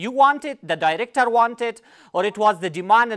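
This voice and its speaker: Speech comes at a fairly quick pace in an Afghan accent. The recording is very clean, with a silent background. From Afghanistan. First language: Pashto. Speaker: TV interviewer. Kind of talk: interview. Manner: halting.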